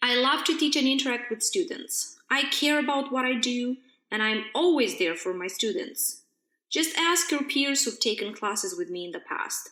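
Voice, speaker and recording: A raised, projected voice with a bright, sharp tone and very wide pitch swings. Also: woman, high pitch for a woman, moderate pace. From Moldova. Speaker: university lecturer. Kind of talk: podcast monologue.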